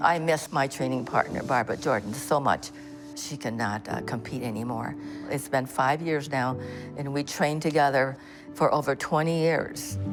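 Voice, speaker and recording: Music plays behind a woman with a very deep, low voice. She talks at a moderate pace with ordinary pitch variation. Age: 80s. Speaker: senior track and field athlete. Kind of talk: documentary interview.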